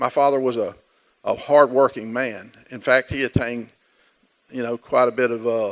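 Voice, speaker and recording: With a Texas accent, the speaker goes at a moderate pace with fairly even intonation and long, frequent pauses, the sound dry and close with no echo. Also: man. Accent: Texas Southern US. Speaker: church member giving testimony. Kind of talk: testimony. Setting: church service. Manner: halting.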